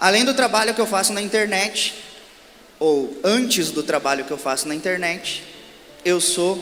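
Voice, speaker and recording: With music in the background, a man delivers his words in lively intonation. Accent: southern Brazilian. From southern Brazil, Rio Grande do Sul (Santa Maria). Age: 30s. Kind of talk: religious talk to a live audience. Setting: stage at a religious event with audience.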